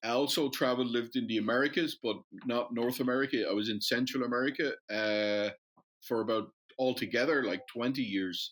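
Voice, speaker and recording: Recorded very cleanly against a silent background, a man speaks in an Irish accent. His medium-pitched voice moves at a fairly quick pace with very even loudness. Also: fairly even intonation. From Dublin, Ireland. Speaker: metals investment company founder. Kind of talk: casual interview chat.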